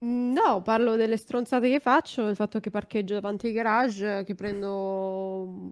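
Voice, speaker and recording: A woman speaks at a fairly slow pace against a quiet background. Her medium pitch shows ordinary variation. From northern Italy, Varese; northern Italy. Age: 20s. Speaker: streamer. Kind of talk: casual chat. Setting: video call. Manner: sounds young. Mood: joking, relaxed. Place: home room. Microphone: studio mic.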